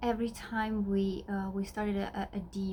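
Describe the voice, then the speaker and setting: At a fairly slow pace, a woman speaks at a medium pitch with monotone, flat intonation. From Russia. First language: Russian. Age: 30s. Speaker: wellness vlogger. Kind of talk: personal vlog talk. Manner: halting, many fillers.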